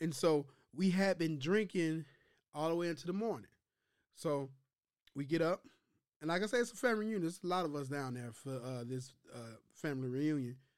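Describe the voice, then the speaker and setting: Using lively intonation, a man with an American accent and a fairly high pitch talks at a fairly quick pace with long, frequent pauses. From US Midwest, Chicago. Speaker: podcast co-host. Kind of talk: casual chat.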